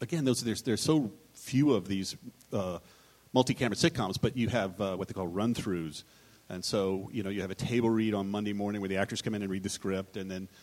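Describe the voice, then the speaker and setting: A man talks at a fairly quick pace. His voice is fairly low-pitched, a plain, everyday voice. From Texas. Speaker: television comedy writer. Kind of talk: live panel discussion. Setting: stage with audience.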